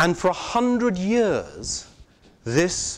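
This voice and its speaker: Here is a man speaking. He has a British accent. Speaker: arts organization director. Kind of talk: conference talk. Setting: conference with live interpreters.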